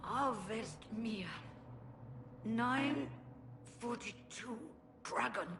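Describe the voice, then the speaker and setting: A put-on character voice, female-sounding and fairly high-pitched, at a very slow pace with long, frequent pauses and clear background noise. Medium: video game.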